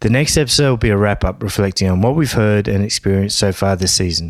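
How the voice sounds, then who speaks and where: A man talks in an unremarkable speaking voice at a fairly low pitch. His pace is fairly quick. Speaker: podcast host. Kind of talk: casual interview chat.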